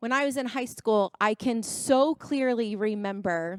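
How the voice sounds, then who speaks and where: A woman with a fairly high pitch speaks in a plain, everyday voice with ordinary pitch variation. The sound is dry and close with no echo, in a very clean recording with a silent background. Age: 30s. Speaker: youth conference speaker. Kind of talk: motivational talk.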